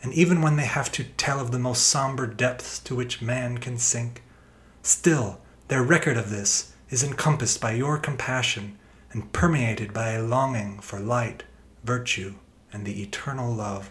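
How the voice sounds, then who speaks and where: At a moderate pace, this man shows ordinary pitch variation. He has an unremarkable speaking voice at medium pitch. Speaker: reader of prayer. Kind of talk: reading aloud a written prayer, solemn devotional intercession. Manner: solemn, pleading.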